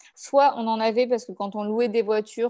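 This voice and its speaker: At a fairly quick pace, the voice carries a dark, mellow tone. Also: woman. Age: 30s. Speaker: travel blogger and photographer. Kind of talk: casual interview.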